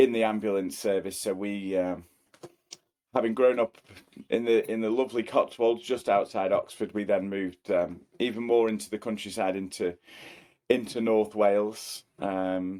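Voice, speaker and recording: A man's fairly low voice with a dark, mellow tone, fairly even intonation and a moderate pace. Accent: Cheshire. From Cheshire, England. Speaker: property company colleague. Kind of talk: casual interview.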